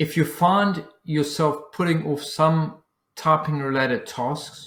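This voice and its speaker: A man with a South African accent speaks at a fairly high pitch, somewhat breathy, with ordinary pitch variation. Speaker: business coach. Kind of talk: dictating a newsletter aloud. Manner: dictation with spoken punctuation.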